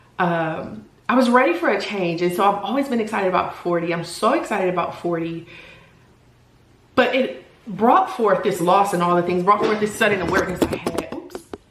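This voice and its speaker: A woman talks at a fairly quick pace with lively intonation, her voice carrying audible room echo over noticeable background noise. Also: medium pitch for a woman. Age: 40s. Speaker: lifestyle vlogger and solo entrepreneur. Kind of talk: personal vlog monologue. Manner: casual, halting.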